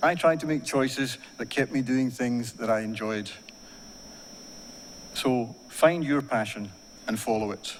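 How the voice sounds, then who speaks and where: Speaking with an Ayrshire accent, a man talks at a fairly slow pace with long, frequent pauses. His medium pitch has ordinary variation. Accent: Ayrshire Scottish. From Scotland, Ayrshire (Kilmarnock). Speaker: university staff member giving graduation address. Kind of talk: graduation speech. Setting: ceremony hall with audience. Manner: formal.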